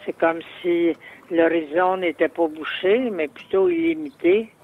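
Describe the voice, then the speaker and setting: Noticeable background noise sits behind a man with a high pitch. He speaks at a very slow pace. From Quebec, Salaberry-de-Valleyfield. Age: 70s. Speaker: poet. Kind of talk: interview recollection. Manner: halting, repeats words.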